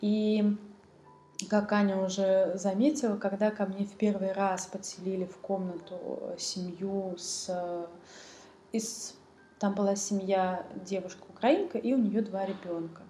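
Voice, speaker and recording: With long, frequent pauses, a woman speaks at a fairly slow pace and medium pitch, her intonation fairly even, amid noticeable background noise and audible room echo. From Russia, central Moscow. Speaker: refugee guest. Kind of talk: casual chat.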